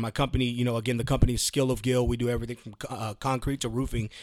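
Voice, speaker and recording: Male speech with an American accent, very cleanly recorded against a silent background. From Texas, Houston. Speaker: Marine veteran and remodeling contractor. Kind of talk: casual interview.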